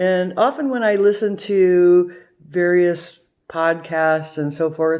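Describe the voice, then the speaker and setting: With a Midwestern American accent, a woman speaks at a medium pitch. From US Midwest, Ohio. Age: 50s. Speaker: retiree vlogger. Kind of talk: casual monologue. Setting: at home with a cocktail.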